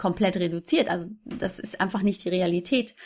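A woman talks at a moderate pace with fairly even intonation and a somewhat breathy quality. The recording is very clean, with a silent background. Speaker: fitness blogger and mother. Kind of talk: interview.

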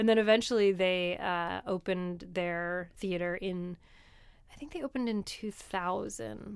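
A woman with an American accent has a plain, everyday voice, medium pitch and ordinary pitch variation, speaking at a fairly slow pace. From New Jersey. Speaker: comedian. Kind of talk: casual chat. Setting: studio.

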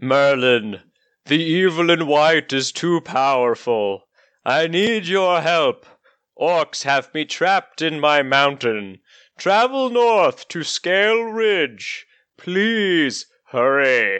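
A man speaks very slowly in a put-on character voice pitched fairly high. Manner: urgent, pleading.

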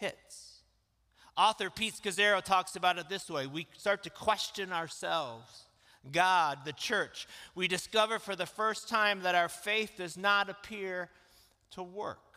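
A man's raised, projected voice, high in pitch and bright, sharp in tone, at a fairly slow pace. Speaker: pastor. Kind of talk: sermon. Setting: church; stage with audience.

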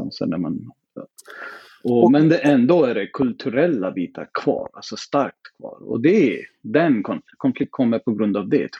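A man with a non-native accent, medium in pitch and dark, mellow in tone, at a moderate pace with very wide pitch swings and big swings in loudness, in a dry, close sound with no echo. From southern India. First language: not Swedish (speaking Swedish). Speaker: podcast guest. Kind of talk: casual chat.

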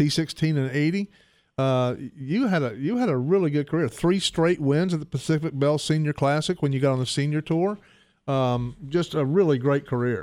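A man with an unremarkable speaking voice talks at a fairly high pitch. He keeps a moderate pace with ordinary pitch variation. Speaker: golf radio co-host. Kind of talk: casual interview chat.

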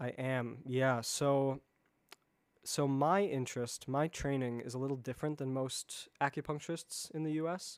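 A man with a plain, everyday voice and an American accent speaks at a fairly high pitch, moderate pace and fairly even intonation on a very clean recording with a silent background. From US Midwest, Chicago area. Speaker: Chinese medicine practitioner, acupuncturist. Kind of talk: podcast interview.

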